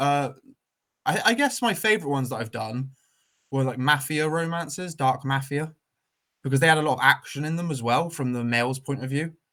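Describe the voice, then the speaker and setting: Fairly quick speech from a man with a fairly high pitch and ordinary pitch variation. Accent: West Country. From southwest England, Weston-super-Mare. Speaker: author. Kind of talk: casual chat. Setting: live stream video call. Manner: animated.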